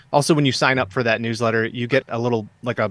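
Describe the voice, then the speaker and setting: Very fast speech with fairly even intonation comes in a Midwestern American accent, recorded with a dry, close sound and no echo. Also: man. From US Midwest, Southeast Michigan. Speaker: author. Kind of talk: interview.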